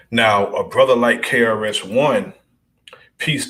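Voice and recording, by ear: With audible room echo, a man talks at a fairly slow pace in a medium pitch with ordinary pitch variation and a fairly bright tone.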